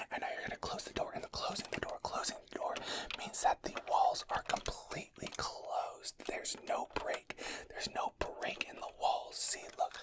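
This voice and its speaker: A man whispering over noticeable background noise. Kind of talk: ASMR video. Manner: whispered; fast, aggressive, repetitive.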